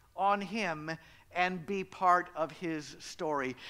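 A man's voice comes out raised and projected, with a bright, sharp tone. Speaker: pastor. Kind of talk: sermon. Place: church. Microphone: headset.

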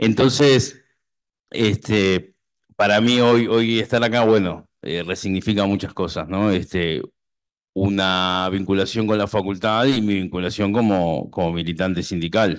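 An unremarkable speaking voice from a man, fairly low-pitched and fairly slow, with ordinary pitch variation against a quiet background. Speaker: doctoral researcher. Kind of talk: academic presentation. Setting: university hall with audience.

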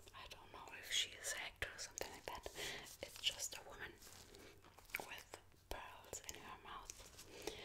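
Whispering at a fairly slow pace, a woman leaves long, frequent pauses while her loudness swings widely. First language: not English. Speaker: ASMR creator. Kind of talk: ASMR soft-spoken story about her tattoos. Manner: soft-spoken, whispered, hesitant. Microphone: studio mic.

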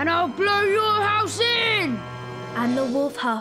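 The recording is plain reading aloud.

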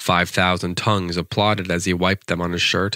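On a very clean recording with a silent background, a man speaks at a very deep, low pitch in an animated, dramatic tone that sounds bright and sharp. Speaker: poetry podcast host. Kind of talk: poem performed, reading aloud a comic narrative verse. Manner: animated, storytelling delivery with dramatic pacing; casual, chatty and hesitant in the intro.

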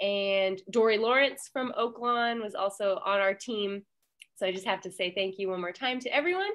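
Over a quiet background, a woman talks at a moderate speed. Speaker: library manager, event organizer. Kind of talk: event moderation. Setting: video call. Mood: friendly, warm. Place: office. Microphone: headset.

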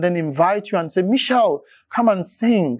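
Speaking at a moderate pace, a man is heard against a quiet background. The sound is dry with no echo. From Nigeria, Benue State. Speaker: classical tenor singer; talk show guest. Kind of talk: interview conversation. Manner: halting. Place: studio. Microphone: lapel.

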